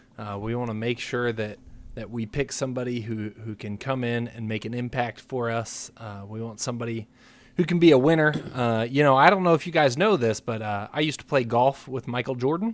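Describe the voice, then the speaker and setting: Recorded very cleanly with a silent background, a man talks at a fairly quick pace in an ordinary speaking voice of medium pitch. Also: ordinary pitch variation, big swings in loudness. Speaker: podcast co-host. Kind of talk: casual sports chat.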